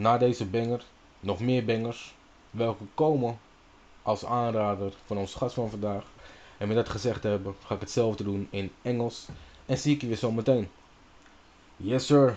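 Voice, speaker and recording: A man with a Dutch accent, with long, frequent pauses. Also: medium pitch for a man, fairly even intonation, moderate pace. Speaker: radio host. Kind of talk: radio show intro. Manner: casual, hesitant with fillers.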